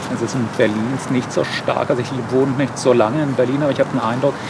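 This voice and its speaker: Against noticeable background noise, a man at medium pitch talks fairly quickly in a monotone, flat intonation. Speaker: political video creator. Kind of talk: interview.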